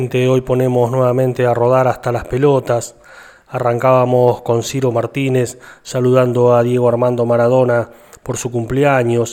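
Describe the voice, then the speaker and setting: This man's medium-pitched voice stays monotone and flat in intonation as he talks at a moderate pace. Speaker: radio host. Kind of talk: radio show narration.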